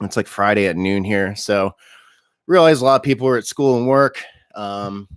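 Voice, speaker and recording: A man talks at a moderate pace with a fairly low pitch and ordinary pitch variation. The recording is very clean with a silent background, and the sound is dry and close with no echo. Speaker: personal trainer and diet coach. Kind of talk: live stream Q&A. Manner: hesitant, many filler words.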